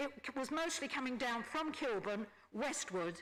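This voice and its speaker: A woman speaks with a high-pitched voice. She talks very slowly. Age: 70s. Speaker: resident affected by flooding. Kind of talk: public meeting testimony. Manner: halting, with repeated false starts.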